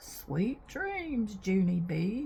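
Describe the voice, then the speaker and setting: Putting on a character voice, a woman speaks at a medium pitch with very wide pitch swings over light background noise. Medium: read story.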